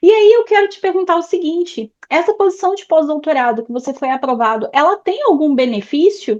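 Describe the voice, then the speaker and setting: Talking at a fairly quick pace with hardly any pauses, a woman uses an extremely high pitch with very wide swings and big jumps in loudness. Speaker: education mentor, interviewer. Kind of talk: interview.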